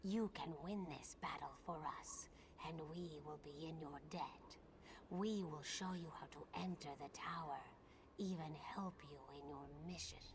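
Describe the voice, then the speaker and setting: Someone uses a put-on character voice at a middle pitch, leaving long, frequent pauses. Clear background noise runs underneath. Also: moderate pace. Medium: video game.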